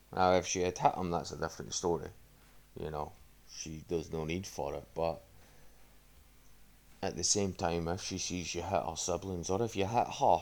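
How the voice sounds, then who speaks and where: Very deep and low, a man's voice moves at a moderate pace with ordinary pitch variation. He leaves long, frequent pauses. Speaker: podcast host. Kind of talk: casual monologue podcast. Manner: casual, sweary.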